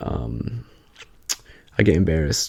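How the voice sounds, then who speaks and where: Soft-spoken and whispering, a man talks in a relaxed tone. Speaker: ASMR creator. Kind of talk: casual ramble to camera. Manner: soft-spoken, whispery, relaxed.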